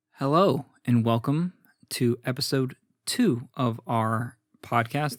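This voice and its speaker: In a robotic put-on character voice, a man speaks at medium pitch and a fairly slow pace with long, frequent pauses, the sound dry and close with no echo on a very clean recording with a silent background. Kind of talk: formal podcast intro. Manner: stiff, robotic.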